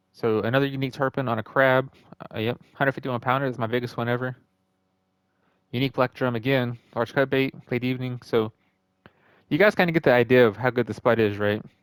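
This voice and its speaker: A man with a medium-pitched voice and fairly even intonation talks very fast yet takes long, frequent pauses, in a dry, close sound with no echo. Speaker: gaming youtuber. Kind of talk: gameplay tutorial. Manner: casual.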